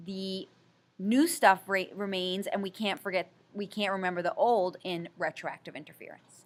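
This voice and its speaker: A woman talks at a moderate pace with ordinary pitch variation. Her loudness swings a lot. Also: medium pitch for a woman. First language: Italian. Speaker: high school teacher. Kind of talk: recorded lecture. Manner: casual, conversational.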